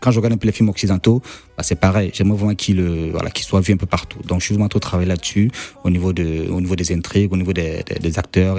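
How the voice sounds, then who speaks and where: A man talks at a very fast pace in a very deep, low voice with fairly even intonation. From Cameroon. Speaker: film director. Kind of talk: radio interview.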